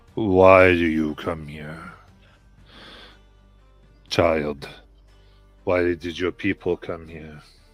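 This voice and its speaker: A man's put-on character voice, very deep and low, at a very slow pace with long, frequent pauses and faint music in the background. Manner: stern, questioning.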